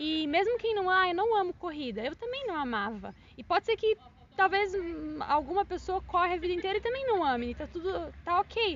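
A woman speaks at an extremely high pitch with very wide swings in it, and noticeable background noise runs behind her. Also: fairly quick pace. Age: 30s. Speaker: amateur runner, sales worker. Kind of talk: casual interview.

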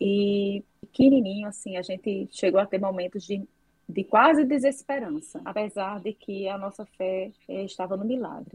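An unremarkable speaking voice from a woman at a fairly slow pace, with ordinary pitch variation. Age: 40s. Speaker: doctor specializing in breast health. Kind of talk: interview, casual chat. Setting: remote online call.

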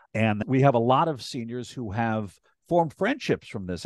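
In an unremarkable speaking voice, a man with an American accent and medium pitch talks at a moderate pace with lively intonation, the sound dry and close with no echo over a quiet background. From US Northeast, Hudson Valley, New York. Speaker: public agency worker on aging services. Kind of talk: interview.

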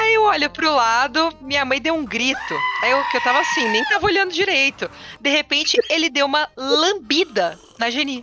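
With very wide pitch swings, a woman talks at a moderate pace and a high pitch, noticeable background noise around her. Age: 30s. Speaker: veterinarian. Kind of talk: casual chat. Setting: studio.

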